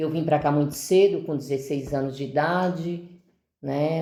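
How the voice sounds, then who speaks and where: A woman speaks with a very deep, low pitch and a dark, mellow tone. Her intonation stays fairly even, and room echo is audible. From Brazil, Ceará (Northeast). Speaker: deacon's wife, parishioner. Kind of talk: testimony in podcast interview.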